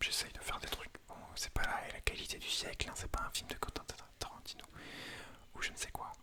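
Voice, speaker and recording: Whispering at a fairly quick pace, a man is heard over noticeable background noise. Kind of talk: whispered ASMR talk to camera. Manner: whispering, casual, self-deprecating.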